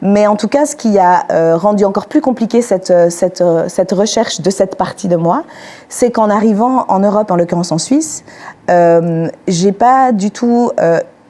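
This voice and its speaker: A woman's medium-pitched voice with lively intonation and very even loudness, over noticeable background noise. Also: moderate pace. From Algeria, Algiers, then Switzerland from age 11. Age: 30s. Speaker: panel speaker. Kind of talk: testimony. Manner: halting, many hesitations.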